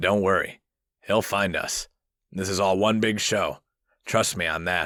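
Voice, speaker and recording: Putting on a raspy character voice, a man speaks at a moderate pace in a fairly low pitch with fairly even intonation. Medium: read story. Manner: confident, playful.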